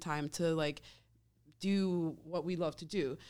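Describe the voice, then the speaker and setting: A woman's fairly low, monotone, flat voice with an American accent, in a very clean recording with a silent background. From Wisconsin. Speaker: band member, musician.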